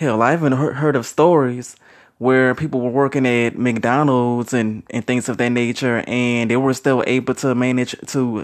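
A man with an American accent and an ordinary speaking voice talks at a medium pitch with fairly even intonation over a quiet background. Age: 30s. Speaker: youtuber sharing opinions. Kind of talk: solo monologue vlog. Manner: casual with many fillers.

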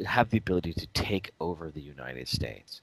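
A man's very deep, low voice with vocal fry, at a moderate pace, dry and close with no echo. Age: 40s. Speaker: podcast co-host. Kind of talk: casual chat.

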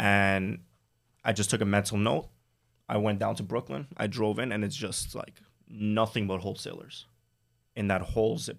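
With vocal fry and fairly even intonation, a man speaks at a fairly quick pace and a fairly low pitch. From New York City (Staten Island). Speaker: Amazon wholesale seller. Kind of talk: interview.

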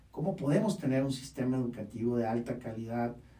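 A man speaks at a moderate pace with ordinary pitch variation. Noticeable background noise and audible room echo come through. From Baja California, Mexico. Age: 30s. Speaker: podcast host and university rector. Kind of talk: podcast monologue.

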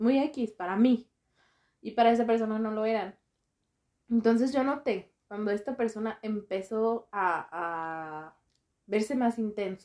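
Against a quiet background, a woman speaks at a fairly slow pace with long, frequent pauses. Her fairly high pitch has a dark, mellow tone and ordinary pitch variation. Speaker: doctor, podcast guest. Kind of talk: casual chat.

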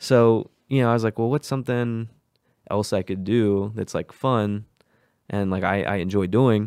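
An ordinary speaking voice from a man, moderate pace, fairly even intonation, very clean recording with a silent background. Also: fairly low pitch for a man, dry, close sound with no echo. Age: 20s. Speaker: podcast host. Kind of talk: casual chat.

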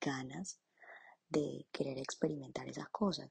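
A woman talks at a moderate pace in a dry, close recording free of echo. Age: 20s. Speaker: image consultant and podcaster. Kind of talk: casual monologue. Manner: spontaneous, with fillers.

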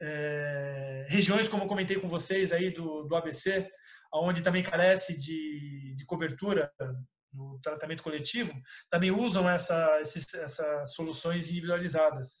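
A man with a high pitch speaks at a fairly slow pace, his intonation fairly even. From São Paulo, Brazil (Itaquera). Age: 40s. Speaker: professor and biologist. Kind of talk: online lecture. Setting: video call.

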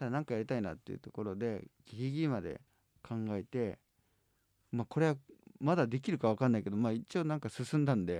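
Fairly quick speech from a man with a dark, mellow tone, medium pitch and lively intonation, dry and close with no echo over a quiet background. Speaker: music agency head and podcast host. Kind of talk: casual chat.

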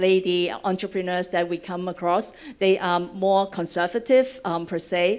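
A woman speaks with a Cantonese accent at a medium pitch. Her pace is fairly slow. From Hong Kong. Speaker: venture fund director. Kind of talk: panel discussion. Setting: stage with audience.

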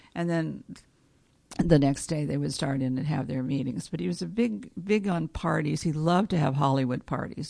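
The voice has a dark, mellow tone and an American accent. It moves at a moderate pace. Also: woman. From Los Angeles, California. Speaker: former executive assistant. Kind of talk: interview, personal reminiscence.

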